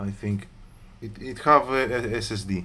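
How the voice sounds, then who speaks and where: A man with a fairly low voice, a bright, sharp tone and a Greek accent, at a fairly slow pace. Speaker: laptop repair technician. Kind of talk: tutorial. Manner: hesitant, many fillers.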